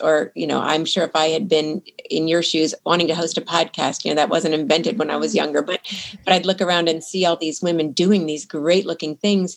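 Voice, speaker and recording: Speaking at a fairly quick pace, a woman with a normal speaking voice uses a fairly low pitch and ordinary pitch variation. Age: 50s. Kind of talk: interview. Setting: remote call.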